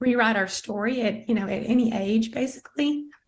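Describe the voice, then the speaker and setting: This woman's voice sits fairly high in pitch. It is somewhat breathy. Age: 60s. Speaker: network marketing member sharing health story. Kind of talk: testimony. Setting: video call.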